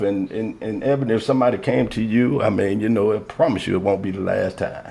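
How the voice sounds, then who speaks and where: The pace is moderate as a man talks. Behind him there is noticeable background noise. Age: 50s. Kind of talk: casual chat.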